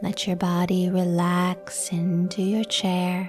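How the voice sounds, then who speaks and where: With music in the background, a woman speaks very slowly at a medium pitch. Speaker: meditation guide. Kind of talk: guided meditation. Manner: soothing, slow.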